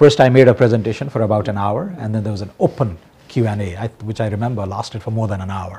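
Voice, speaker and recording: Very fast and somewhat breathy, a man with a Nepali accent speaks in a fairly low pitch and a dark, mellow tone, with ordinary pitch variation. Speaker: economist and member of parliament. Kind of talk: TV current affairs interview.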